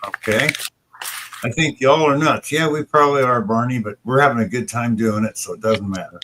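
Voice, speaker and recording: Dry and close with no echo, the recording has a man in a normal speaking voice at medium pitch, talking at a fairly quick pace with ordinary pitch variation. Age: 60s. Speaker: livestream host. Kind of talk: casual chat. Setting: live stream.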